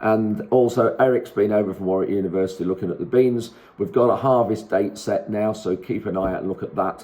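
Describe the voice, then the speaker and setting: Fairly quick and fairly even in intonation, a man with a Lincolnshire accent speaks at a fairly low pitch in a dark, mellow tone. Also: hardly any pauses. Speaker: farmer. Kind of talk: casual vlog. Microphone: no wind muffler.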